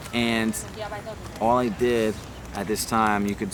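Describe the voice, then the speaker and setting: There is audible room echo and noticeable background noise. A man talks with fairly even intonation. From New Jersey, Middlesex County. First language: Hebrew. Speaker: rapper. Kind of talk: personal testimony. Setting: outdoors in a park. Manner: casual, hesitant with fillers.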